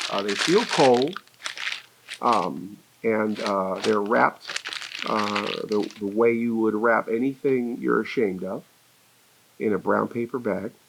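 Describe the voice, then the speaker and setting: A fairly low male voice at a fairly slow pace, with long, frequent pauses, ordinary pitch variation and noticeable background noise. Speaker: horror host. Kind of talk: casual talk to camera. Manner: rambling, hesitant, jokey.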